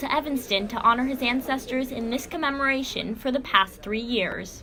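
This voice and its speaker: A high-pitched woman at a fairly quick pace, with ordinary pitch variation and noticeable background noise. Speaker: student news reporter. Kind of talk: TV news report.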